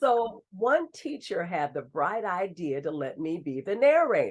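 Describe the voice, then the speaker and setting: A woman with an American accent speaks at a fairly slow pace in a medium pitch, her voice swinging very widely in pitch. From US West Coast, Bay Area. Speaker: radio host. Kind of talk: interview.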